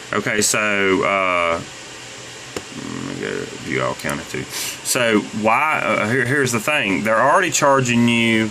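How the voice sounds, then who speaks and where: A man speaks at a medium pitch with lively intonation and a fairly slow pace. The recording has audible room echo and noticeable background noise. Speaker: YouTuber selling on eBay. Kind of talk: screen-recorded rant tutorial. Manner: halting, many fillers and repeats.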